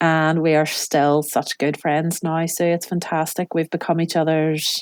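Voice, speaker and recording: A woman with an Irish accent speaks at a fairly slow pace. The recording is very clean with a silent background and a dry, close sound with no echo. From Ireland. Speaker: cookery class teacher and business owner. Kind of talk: interview answer.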